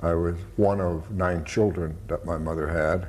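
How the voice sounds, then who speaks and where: A man speaks at a fairly slow pace in a very deep, low voice with a dark, mellow tone. His delivery is somewhat breathy, with fairly even intonation. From San Francisco. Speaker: war veteran. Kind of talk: interview answer.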